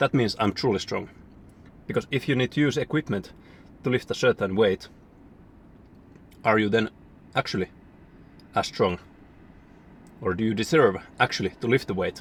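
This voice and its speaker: With a non-native accent, a man speaks with long, frequent pauses in a dry, close sound with no echo. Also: medium pitch for a man, ordinary pitch variation, moderate pace. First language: not English. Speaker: fitness vlogger. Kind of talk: casual vlog talk to camera. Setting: gym. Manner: halting.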